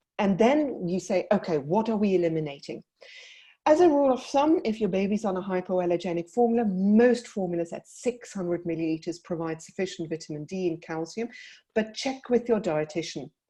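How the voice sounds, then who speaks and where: With a South African accent, a woman talks fairly quickly at a medium pitch, her dark, mellow tone carrying lively intonation. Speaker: paediatric dietitian. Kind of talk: webinar presentation. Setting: online webinar.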